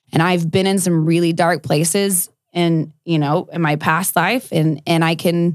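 A woman with an American accent uses an ordinary speaking voice, pitched fairly low, with fairly even intonation. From South Texas, Corpus Christi. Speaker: former beauty queen, MMA fighter turned country singer. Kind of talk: interview conversation. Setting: studio.

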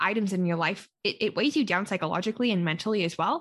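With a Western Canadian accent, a woman speaks at a fairly quick pace. Her pitch is medium and her intonation lively. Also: quiet background. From Calgary, Alberta, Canada. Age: 20s. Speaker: podcaster and traveler. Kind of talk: casual interview chat.

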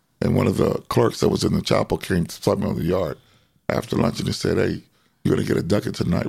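With an American accent, a man talks at a very deep, low pitch, with vocal fry and very wide pitch swings. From Southern California. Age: 70s. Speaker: formerly incarcerated man, ex-lifer. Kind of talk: life-story interview.

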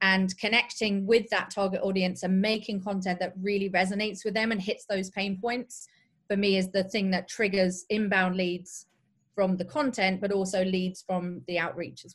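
The voice is somewhat breathy and delivered in a flat, monotone way. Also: woman, medium pitch for a woman, moderate pace, big swings in loudness. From England (Derby). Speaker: social selling strategist. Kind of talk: interview.

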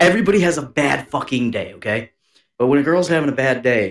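With an American accent, a man talks in an animated tone at a fairly quick pace. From US Northeast. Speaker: podcast co-host. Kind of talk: casual chat.

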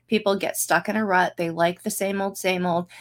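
Speaking at a moderate pace in an ordinary speaking voice, a woman has a medium pitch and an American accent. Her intonation is fairly even. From central Pennsylvania. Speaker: political candidate. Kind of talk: panel Q&A. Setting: video call.

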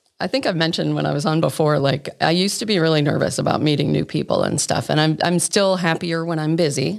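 A woman with an American accent talks at a fairly quick pace in a very deep, low voice with ordinary pitch variation, over noticeable background noise. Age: 50s. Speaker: wedding officiant and church event coordinator. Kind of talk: casual chat.

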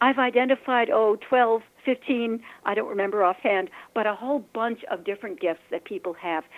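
This woman has an unremarkable speaking voice with fairly high pitch. Her pitch varies in an ordinary way. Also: moderate pace. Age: 60s. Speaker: energy healer and face reader. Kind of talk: interview.

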